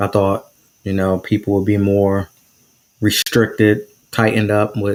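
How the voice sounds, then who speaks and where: A man's fairly low, flat, monotone voice with an American accent, at a fairly slow pace, on a very clean recording with a silent background. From New Jersey. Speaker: podcast host. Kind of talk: casual interview chat. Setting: live stream.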